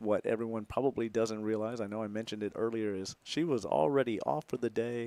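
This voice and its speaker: A soft-spoken man with a dark, mellow tone at a medium pitch, moderate pace and ordinary pitch variation, in a dry, close sound with no echo. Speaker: poker commentator. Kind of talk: live commentary.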